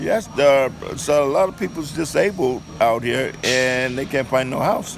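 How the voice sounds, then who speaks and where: A man with an American accent speaks at a fairly slow pace and fairly high pitch, with ordinary pitch variation. Noticeable background noise is present. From Oakland, California. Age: old. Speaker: homeless shelter resident. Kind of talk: interview testimony.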